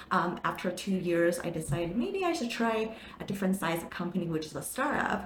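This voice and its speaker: A woman with a Chinese accent talks at a fairly quick pace, fairly low in pitch with ordinary pitch variation. Audible room echo and noticeable background noise come through. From Taiwan. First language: Mandarin Chinese. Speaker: marketing manager. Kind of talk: interview. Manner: animated.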